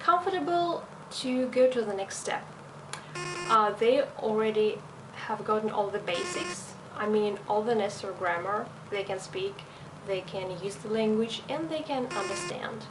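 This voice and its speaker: A woman with a slight European accent and a fairly high pitch speaks at a moderate pace with lively intonation, with audible room echo and noticeable background noise. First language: not English. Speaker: language teacher. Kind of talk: video self-introduction.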